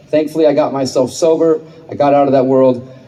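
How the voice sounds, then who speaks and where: A man's fairly quick speech comes through with noticeable background noise and audible echo from the room. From Texas, Houston. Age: 30s. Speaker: activist and journalist. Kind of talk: public speech. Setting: stage with audience.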